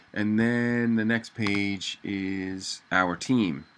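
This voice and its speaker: A man with a normal speaking voice, fairly low pitch and fairly even intonation. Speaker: web designer. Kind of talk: tutorial. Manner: casual with fillers.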